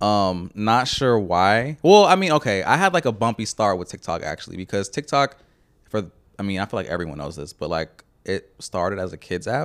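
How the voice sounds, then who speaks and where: A man with an American accent and an unremarkable speaking voice, at a moderate pace with lively intonation, in a dry, close sound with no echo. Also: fairly low pitch for a man. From Houston, Texas (Channelview, East Side). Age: 30s. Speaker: artist and photographer. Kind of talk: casual chat.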